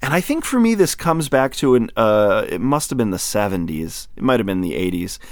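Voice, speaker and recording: A man with an American accent talks at a fairly quick pace and a medium pitch, with very wide pitch swings and hardly any pauses. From US Midwest, northern Lower Peninsula of Michigan. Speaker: podcast host and audiobook narrator. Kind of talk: casual chat; reading aloud.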